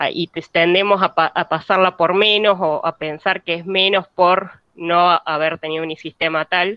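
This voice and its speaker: Her voice sits fairly low for a woman, with fairly even intonation. She talks at a fairly slow pace with hardly any pauses. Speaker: university student. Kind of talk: class discussion comment. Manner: halting, many fillers.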